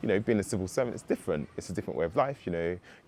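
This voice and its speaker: A man with a London accent. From London, England. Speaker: civil servant. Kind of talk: testimonial interview.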